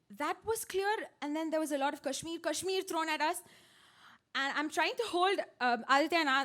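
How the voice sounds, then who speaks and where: A woman's extremely high, bright and sharp voice at a fairly quick pace, with ordinary pitch variation and long, frequent pauses. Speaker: personal storyteller on stage at a storytelling event. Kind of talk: live personal story told to an audience. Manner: emotional, recounting a harrowing experience.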